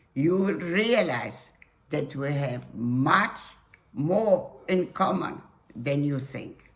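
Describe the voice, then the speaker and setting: Speaking at a very slow pace, a woman uses a very deep, low pitch with very wide swings. Audible echo fills the room. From Poland, Warsaw. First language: Polish. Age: 80s+. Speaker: Holocaust survivor. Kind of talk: testimony.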